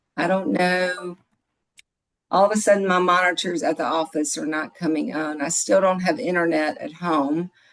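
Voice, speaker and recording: A woman's fairly low voice in a Mississippi accent, at a moderate pace with ordinary pitch variation. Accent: Southern US (Mississippi). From US South, Mississippi. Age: 60s. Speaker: product distributor, financial office manager. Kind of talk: sales pitch. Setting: video call. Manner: animated.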